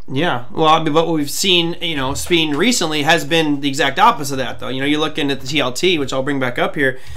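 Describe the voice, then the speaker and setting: Talking at a very fast pace with hardly any pauses, a man with a fairly high pitch shows ordinary pitch variation. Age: 40s. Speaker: trading show host. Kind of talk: live show interview. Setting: live stream. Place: home room. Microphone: webcam.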